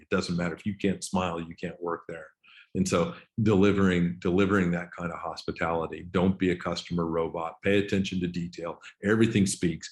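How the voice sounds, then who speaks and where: Talking at a fairly quick pace, a man uses a very deep, low pitch. His intonation is monotone and flat. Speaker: golf club general manager. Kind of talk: webinar presentation. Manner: fast.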